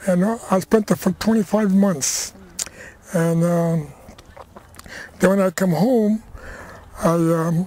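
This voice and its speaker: Speaking with an American accent, a man uses a high pitch and fairly even intonation. His pace is very slow, with long, frequent pauses. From Crockett, California, US. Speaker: rancher and war veteran. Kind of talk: oral history interview.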